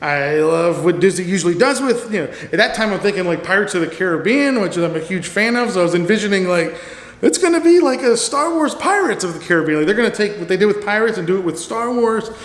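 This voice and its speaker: A man with a high pitch races along at a very fast pace with hardly any pauses and lively intonation, amid audible room echo and noticeable background noise. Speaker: theme park vlogger. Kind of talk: casual monologue. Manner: rambling, halting.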